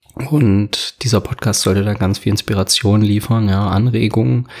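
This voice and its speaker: A man's fairly low-pitched voice with fairly even intonation against noticeable background noise. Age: 20s. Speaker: podcast host and fitness trainer. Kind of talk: solo podcast monologue.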